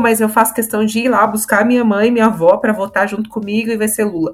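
In an ordinary speaking voice, a woman talks fairly quickly at a fairly high pitch. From Santos, São Paulo state, Brazil. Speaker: podcast panelist. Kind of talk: casual panel discussion.

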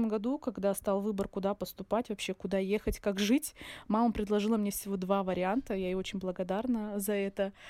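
In a very clean, dry and close recording with a silent background and no echo, a woman with a medium pitch and a dark, mellow tone speaks at a moderate pace with fairly even intonation. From Russian North near Surgut, born in Dagestan. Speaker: pharmacist and healthy-eating blogger. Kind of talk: casual interview.

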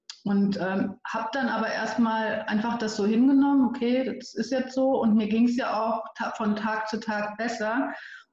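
Heard with audible room echo and noticeable background noise, a woman speaks at a moderate pace with a fairly high pitch and fairly even intonation. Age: 30s. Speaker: storytelling coach and editor. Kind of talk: interview conversation.

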